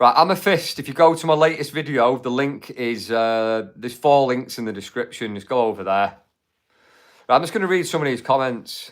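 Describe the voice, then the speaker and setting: With a Mancunian accent, a man talks at a fairly quick pace, using lively intonation at a medium pitch. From Manchester, England. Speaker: YouTube livestream host. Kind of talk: live stream chat. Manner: casual, chatty with fillers.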